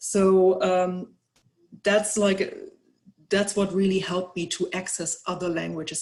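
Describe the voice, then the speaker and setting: The speaker has a German accent. The pace is fairly slow. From Germany. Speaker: researcher. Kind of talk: webinar presentation. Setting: online webinar. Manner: halting, many fillers and repetitions.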